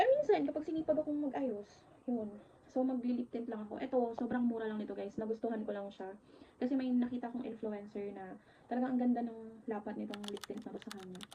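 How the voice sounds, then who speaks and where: A woman speaks at a very fast pace with a fairly high pitch. Her pitch varies in an ordinary way while her loudness swings widely. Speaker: vlogger, virtual assistant. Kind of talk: casual vlog talk to camera.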